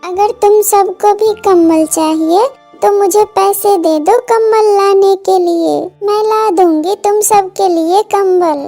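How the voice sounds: Over faint background music, a woman puts on a cartoonish character voice at an extremely high pitch, fairly slow and with fairly even intonation.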